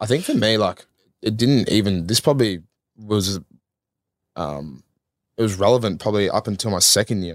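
With an Australian accent, a man speaks with long, frequent pauses in a dry, close sound with no echo, on a very clean recording with a silent background. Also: fairly low pitch for a man, ordinary pitch variation, moderate pace. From Australia, Melbourne. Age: 20s. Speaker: professional footballer. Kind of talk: casual chat.

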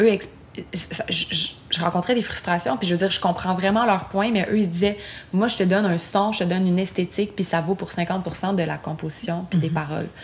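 A woman's medium-pitched voice at a fairly quick pace, with fairly even intonation, over noticeable background noise. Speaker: singer-songwriter. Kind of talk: casual chat. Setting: home studio in Montreal.

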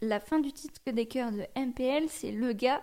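Speaking at a fairly slow pace, a woman has a high pitch with ordinary variation and a dark, mellow tone. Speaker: radio presenter. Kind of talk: casual interview. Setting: radio studio.

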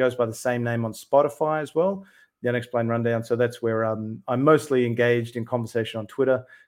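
Very fast talking from a man, in an Australian accent. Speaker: UAP researcher and YouTuber. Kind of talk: casual interview.

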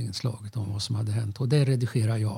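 The man's voice is somewhat breathy and dark, mellow in tone, at medium pitch with fairly even intonation. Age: 70s. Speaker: retired TV technician and musician. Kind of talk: casual interview.

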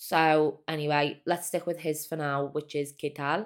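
This woman's pitch is very deep and low. She speaks at a fairly slow pace. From Liverpool, England. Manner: enthusiastic, animated.

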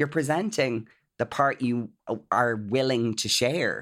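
The voice comes with an Irish accent in a very clean recording with a silent background. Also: man. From Ireland. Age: 30s. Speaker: influencer and PR professional. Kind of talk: casual chat.

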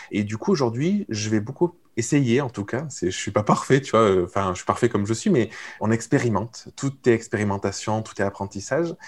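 On a very clean recording with a silent background, a man with a plain, everyday voice speaks at a medium pitch and fairly quick pace, with lively intonation and big swings in loudness. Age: 30s. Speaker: entrepreneur coach and podcaster. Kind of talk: casual interview conversation.

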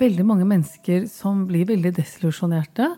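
A woman talks in an ordinary speaking voice. Her pitch is medium, with ordinary pitch variation. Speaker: equality ombudsman. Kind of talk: interview.

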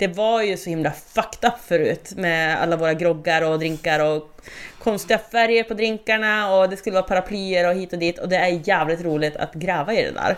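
The voice moves at a moderate pace with hardly any pauses and ordinary pitch variation. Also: woman, medium pitch for a woman. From northern Sweden, Skellefteå. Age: 30s. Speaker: podcast co-host, bartender. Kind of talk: casual chat.

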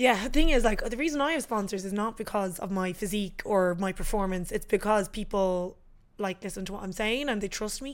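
Talking at a fairly quick pace, a woman speaks with an Irish accent and ordinary pitch variation. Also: medium pitch for a woman. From Ireland. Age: 20s. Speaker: fitness influencer. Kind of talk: casual chat.

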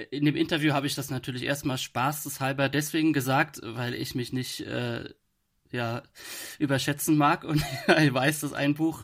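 The intonation stays fairly even as the speech moves at a moderate pace. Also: man. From Kaiserslautern, Germany. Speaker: author. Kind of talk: casual interview. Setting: video call. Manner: relaxed, easygoing.

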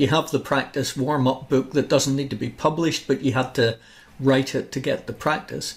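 A man talks at a fairly quick pace in a fairly high pitch, sounding somewhat breathy. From Northern Ireland, Larne. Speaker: podcast host, author. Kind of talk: interview.

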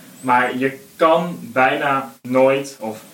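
There is noticeable background noise behind this man. He speaks at a medium pitch with ordinary pitch variation. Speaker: football podcast panelist. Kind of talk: casual football discussion.

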